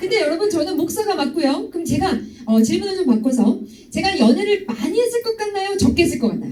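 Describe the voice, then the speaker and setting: A woman with an extremely high pitch and a dark, mellow tone talks very fast with very wide pitch swings, and room echo is audible. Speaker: pastor and sex education lecturer. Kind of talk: lecture to high school youth group.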